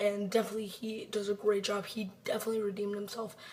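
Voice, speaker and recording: There is noticeable background noise. Through it, a woman speaks at medium pitch. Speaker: movie reviewer. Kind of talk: casual review monologue. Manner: casual, rambling with fillers.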